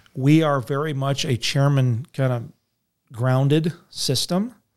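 In a very clean recording with a silent background, a man speaks at a fairly high pitch in a normal speaking voice. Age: 40s. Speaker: state senator. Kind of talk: casual interview. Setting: studio.

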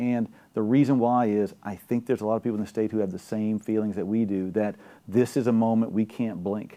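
A very fast man's voice in a South Louisiana accent, dark and mellow in tone. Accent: South Louisiana Southern US. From Louisiana, Gonzales, Ascension Parish. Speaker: gubernatorial candidate. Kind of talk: political interview. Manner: animated.

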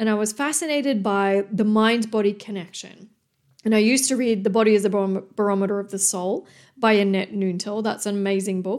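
This woman talks at a fairly quick pace and a fairly high pitch, with ordinary pitch variation. The recording is very clean, with a silent background. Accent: Australian. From Australia, New South Wales. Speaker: podcast host, personal development coach. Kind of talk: motivational monologue.

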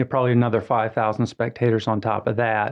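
A man's medium-pitched voice in monotone, flat intonation. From Atlanta, Georgia. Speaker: tourism bureau executive director. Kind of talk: radio interview. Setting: radio studio.

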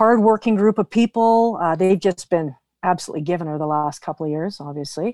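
A woman speaks with a western Canadian accent. The sound is dry and close, with no echo. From British Columbia, Canada. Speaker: real estate team leader. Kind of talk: podcast interview.

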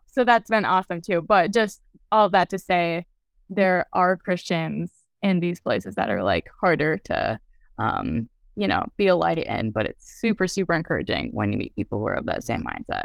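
Recorded very cleanly against a silent background, with a dry, close sound and no echo, a woman with an American accent speaks at a moderate pace. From US Midwest (Lafayette, Indiana; later New York). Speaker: think tank staffer, alumna. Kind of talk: interview. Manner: animated.

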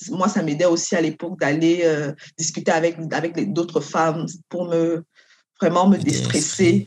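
A woman's unremarkable speaking voice, fairly low in pitch, with fairly even intonation and a fairly slow pace. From Cameroon. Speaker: doctoral student and lawyer. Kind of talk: interview.

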